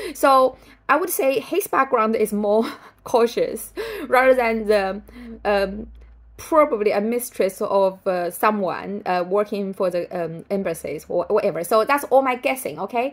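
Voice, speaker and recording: Lively intonation at a fairly slow pace, in a Chinese accent. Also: woman, fairly high pitch for a woman. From China. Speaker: writer and vlogger. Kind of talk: casual vlog commentary. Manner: halting, many fillers. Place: home room. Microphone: phone near.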